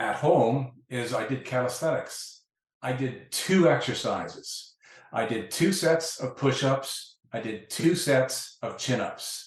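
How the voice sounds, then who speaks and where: At a very slow pace, a man talks in a somewhat breathy voice at medium pitch with ordinary pitch variation. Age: 60s. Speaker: exercise science professor. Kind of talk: interview.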